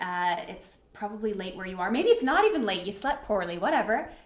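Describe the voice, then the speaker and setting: A woman talks at a fairly quick pace with hardly any pauses, an upbeat tone and very wide pitch swings. Her loudness swings a lot, and there is noticeable background noise. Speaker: workshop facilitator. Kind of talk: live online talk. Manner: upbeat, casual.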